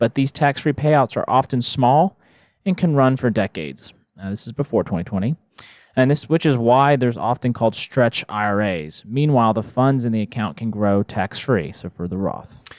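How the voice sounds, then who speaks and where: A man speaks in an unremarkable speaking voice at medium pitch, with lively intonation and a moderate pace. The sound is dry and close with no echo, on a very clean recording with a silent background. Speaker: financial advisor host. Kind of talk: casual chat.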